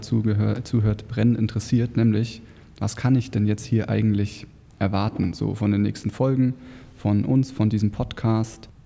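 A man's dark, mellow voice in a monotone, flat intonation at a moderate pace. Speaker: podcast co-host, online marketing entrepreneur. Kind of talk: casual chat.

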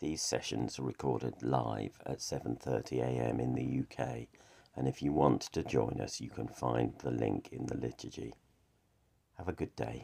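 Speaking at a fairly slow pace, a man with a very deep, low pitch has a dark, mellow tone, fairly even intonation, and vocal fry. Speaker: morning prayer leader. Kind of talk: fervent prayer, led devotional liturgy. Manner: earnest, fervent, heartfelt; measured, reverent, steady pace.

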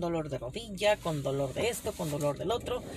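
Noticeable background noise sits under this woman's voice. She talks fairly quickly, her intonation lively. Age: 30s. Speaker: podcaster. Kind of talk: casual monologue. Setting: in a car.

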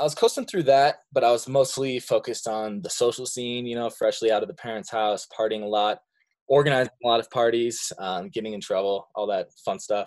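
This man has an unremarkable speaking voice at a medium pitch, with an American accent. He talks at a fairly quick pace with ordinary pitch variation. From Montana. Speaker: creative branding expert, former music venue manager. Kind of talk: casual interview.

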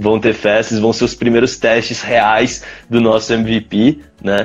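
In an unremarkable speaking voice, a man talks at a moderate pace. His pitch is medium and his intonation fairly even. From Brazil, São José dos Campos (São Paulo state). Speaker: startup founder. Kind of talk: casual interview chat. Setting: live stream.

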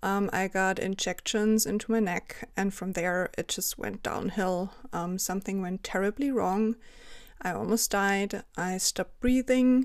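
Speaking at a fairly slow pace, a woman with a German accent uses ordinary pitch variation. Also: medium pitch for a woman, very clean recording, silent background. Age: 30s. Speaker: freelance journalist and chronic illness advocate. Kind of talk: interview.

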